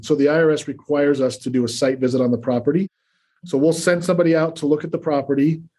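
This man's voice is fairly high in pitch yet dark and mellow in tone. He speaks at a fairly quick pace. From Utah, US (Salt Lake City). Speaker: cost segregation specialist. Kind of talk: interview. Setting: remote call.

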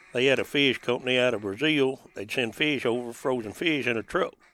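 A man talks with a rural Southern US accent at a moderate pace. His pitch is medium and his intonation fairly even. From western Tennessee, rural lake area. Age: 50s. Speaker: duck hunting guide. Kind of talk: casual interview chat. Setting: in a duck blind on a lake.

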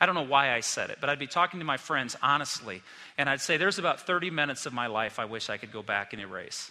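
Pitched fairly high, a man's voice rushes at a very fast pace with a bright, sharp tone. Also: lively intonation. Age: 50s. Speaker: pastor. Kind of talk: sermon. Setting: church.

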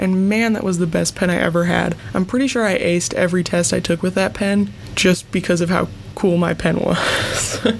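Over noticeable background noise, a woman with a fairly low pitch speaks at a moderate pace. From US Midwest (Wisconsin). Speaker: podcast host. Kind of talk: solo casual monologue. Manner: animated.

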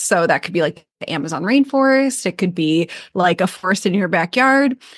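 A woman's voice, an ordinary speaking voice, at a moderate pace with lively intonation, dry, close sound with no echo and a quiet background. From US Midwest, Michigan. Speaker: business coach and author. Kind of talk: casual interview chat. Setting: remote online call.

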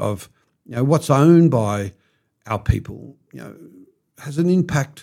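This man speaks at a fairly high pitch with lively intonation. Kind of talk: storytelling monologue. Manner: many fillers and hesitations.

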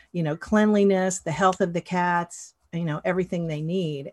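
Against a quiet background, a woman with an American accent speaks at a moderate pace in a somewhat breathy, fairly low pitch with ordinary pitch variation. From US South, western North Carolina mountains. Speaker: animal rescue nonprofit volunteer. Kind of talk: interview.

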